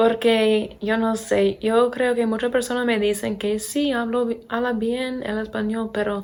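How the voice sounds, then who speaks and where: Speaking fairly slowly, a woman with an American accent has a fairly high pitch. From Pennsylvania, US. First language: English (speaking Spanish). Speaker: English teacher and vlogger. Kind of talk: casual vlog talk.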